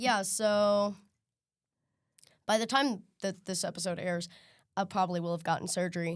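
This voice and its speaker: A woman with a medium pitch talks at a moderate pace, leaving long, frequent pauses. Her intonation is fairly even, and the recording is very clean with a silent background. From US Midwest (Missouri). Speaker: singer and songwriter. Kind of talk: interview.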